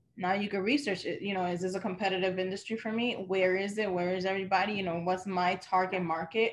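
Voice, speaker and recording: A woman with a New York accent and medium pitch, very fast with hardly any pauses and fairly even intonation. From New York, Dominican family. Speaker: event planner and business owner. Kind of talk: casual interview.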